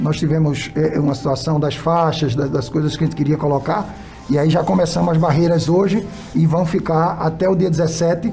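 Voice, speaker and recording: With audible room echo and noticeable background noise, a man talks at a fairly quick pace in a fairly high pitch, his loudness very even and his pitch varying in an ordinary way. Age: 60s. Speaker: municipal health secretary. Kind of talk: radio interview. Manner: halting, with frequent repetitions and fillers.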